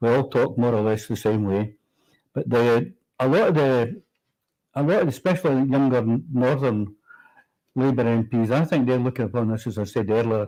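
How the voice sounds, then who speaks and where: Speaking in a Scottish accent, a man has a dark, mellow tone at medium pitch with ordinary pitch variation. He keeps a moderate pace with long, frequent pauses. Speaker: politician. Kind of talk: political talk show discussion. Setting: livestream from Westminster.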